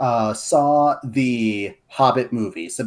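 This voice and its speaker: The recording is very clean, with a silent background, as a man speaks at medium pitch in a plain, everyday voice. His pitch moves in an ordinary way. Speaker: guest lore expert and writer. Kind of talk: casual podcast chat.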